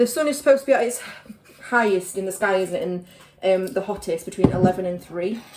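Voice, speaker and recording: Over noticeable background noise, a woman with a Yorkshire accent speaks at a medium pitch with ordinary pitch variation. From Yorkshire, England. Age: 30s. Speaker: vlogger. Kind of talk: casual vlog chat. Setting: at home. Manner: chatty, filler-heavy.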